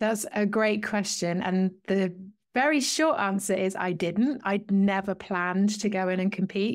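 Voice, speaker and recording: A woman with a British accent speaks at a medium pitch and fairly slow pace, with ordinary pitch variation and very even loudness. The recording is very clean with a silent background. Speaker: wellbeing coach, former police officer and strongwoman. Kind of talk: interview.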